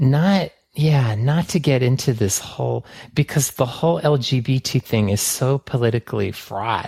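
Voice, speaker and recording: Delivered at a moderate pace in an American accent, the voice has lively intonation, a somewhat breathy, dark, mellow tone, and a dry, close sound with no echo on a very clean recording with a silent background. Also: man, medium pitch for a man. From San Francisco, US. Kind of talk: interview testimony.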